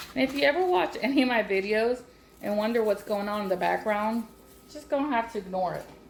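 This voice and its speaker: The speaker talks at a very fast pace with lively intonation and a Southern US accent. Noticeable background noise runs underneath. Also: woman, fairly high pitch for a woman. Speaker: home cooking channel host. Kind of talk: cooking tutorial. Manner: loud; casual, chatty.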